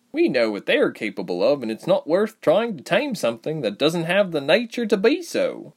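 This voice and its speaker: This put-on character voice moves at a moderate pace with hardly any pauses. The recording is very clean, with a silent background. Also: man, high pitch for a man. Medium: audio drama. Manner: easygoing, happy, chatty.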